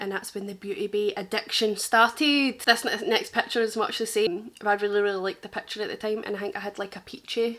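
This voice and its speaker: A woman talks at a very fast pace with hardly any pauses. She has a strong Glaswegian accent and a fairly high pitch. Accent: thick Glaswegian. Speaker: makeup artist. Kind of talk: casual reaction chat. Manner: animated.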